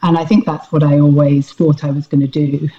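Very deep and low in pitch, a woman's dark, mellow tone moves at a fairly quick pace in a dry, close sound with no echo. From Scotland. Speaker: salt maker. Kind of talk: interview.

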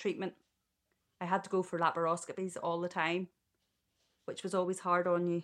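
A Northern Irish accent on a very clean recording with a silent background. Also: woman. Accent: Northern Irish (Ulster). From Northern Ireland, Ballymena. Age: 40s. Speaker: childminder. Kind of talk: interview.

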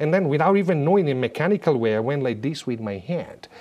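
This man's pitch swings very widely. There is vocal fry in his voice. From Italy. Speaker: former papal bodyguard and business teacher. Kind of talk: interview storytelling.

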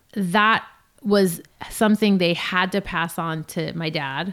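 A woman with a Californian accent, medium pitch and fairly even intonation, with long, frequent pauses. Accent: Californian American. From Los Angeles. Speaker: DJ and music producer. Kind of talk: casual interview chat.

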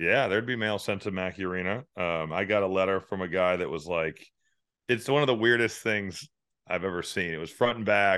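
A man speaks at a fairly quick pace with a fairly low pitch. It is a normal speaking voice with ordinary pitch variation. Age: 30s. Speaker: college basketball analyst and commentator. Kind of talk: casual chat.

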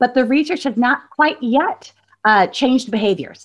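The voice belongs to a woman. She keeps to a moderate tempo. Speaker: philanthropy researcher. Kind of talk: interview. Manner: halting, many fillers.

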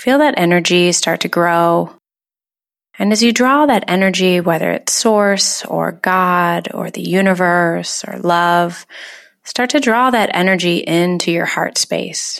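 An ordinary speaking voice at a fairly slow pace, with ordinary pitch variation. The recording is very clean, with a silent background. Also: woman, fairly low pitch for a woman. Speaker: meditation guide. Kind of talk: guided meditation. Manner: slow, soothing, calm; gentle, soft-spoken with long pauses.

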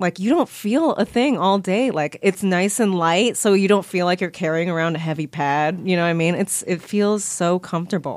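Speaking with a Californian accent, a woman uses a medium pitch with ordinary pitch variation. She leaves hardly any pauses, and the recording is very clean with a silent background. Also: moderate pace. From Bay Area, California. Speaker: actress and filmmaker. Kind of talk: casual chat.

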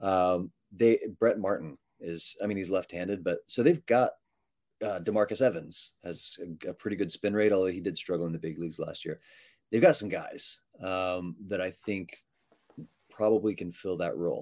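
With a plain, everyday voice, a man talks at a fairly low pitch and moderate pace, showing ordinary pitch variation. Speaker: baseball writer. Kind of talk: casual interview chat. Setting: video call.

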